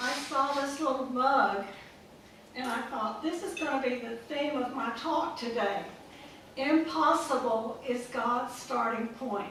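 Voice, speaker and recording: A woman with a high pitch at a fairly slow pace, with audible room echo and noticeable background noise. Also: ordinary pitch variation. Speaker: author and speaker. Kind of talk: talk to a live audience. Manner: soft-spoken.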